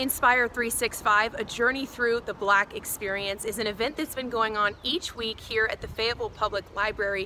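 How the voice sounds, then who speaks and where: A woman with an American accent, fairly high in pitch, fairly quick, with ordinary pitch variation and noticeable background noise. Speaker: television news reporter. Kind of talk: TV news reporter delivery.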